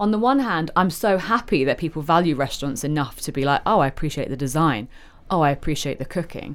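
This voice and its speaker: A woman with a London accent and a very deep, low pitch speaks at a very fast pace with lively intonation, on a very clean recording with a silent background. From London (Covent Garden). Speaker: restaurant owner. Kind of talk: casual chat. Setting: hotel lounge.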